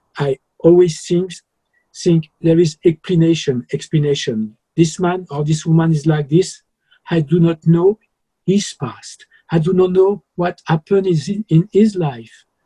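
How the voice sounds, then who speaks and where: A man with a French accent speaks high for his sex, in a dark, mellow tone. He goes at a fairly slow pace, and the sound is dry and close with no echo. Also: ordinary pitch variation. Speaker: journalist. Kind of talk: interview.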